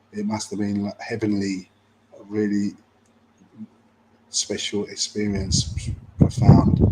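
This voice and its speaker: Quiet and fairly slow, a man speaks with flat, monotone intonation, big swings in loudness and long, frequent pauses over noticeable background noise. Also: fairly low pitch for a man. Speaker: travel vlogger. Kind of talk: casual commentary over photos. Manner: quiet, hushed; halting, many fillers.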